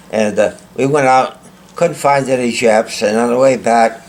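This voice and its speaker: There's noticeable background noise in this clip. A man talks at a medium pitch. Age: 90s. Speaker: war veteran and author. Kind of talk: interview.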